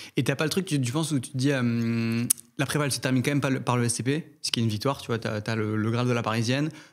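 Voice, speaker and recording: A man talks at a very fast pace with a medium pitch and fairly even intonation. The recording is very clean, with a silent background. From Algeria, Algiers. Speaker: podcast host, business student. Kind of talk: podcast interview. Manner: hesitant, filler-heavy.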